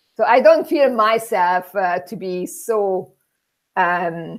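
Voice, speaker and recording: The voice has a Hungarian accent and lively intonation. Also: woman. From Hungary. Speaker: immigrant interviewee. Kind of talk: interview. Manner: halting.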